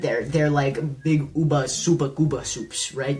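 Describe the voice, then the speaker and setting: Amid noticeable background noise and audible room echo, a woman with a very deep, low pitch speaks at a moderate pace. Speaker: YouTube commentator. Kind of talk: casual commentary. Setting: home recording. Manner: loud; animated.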